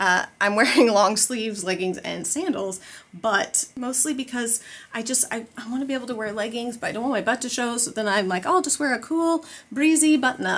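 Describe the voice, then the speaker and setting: A woman talking at a fairly quick pace with lively intonation. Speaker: family vlogger. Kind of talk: casual vlog chat. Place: home room. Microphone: phone near.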